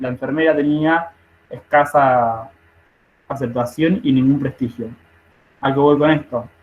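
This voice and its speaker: A man with an unremarkable speaking voice and a fairly high pitch talks at a fairly slow pace with fairly even intonation. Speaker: nursing study group leader. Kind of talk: online study group lecture.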